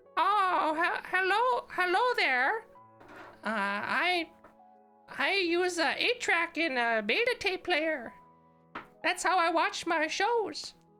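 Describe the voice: Over faint background music, a woman uses a put-on character voice that is extremely high, with very wide pitch swings, very even loudness, a very slow pace and long, frequent pauses.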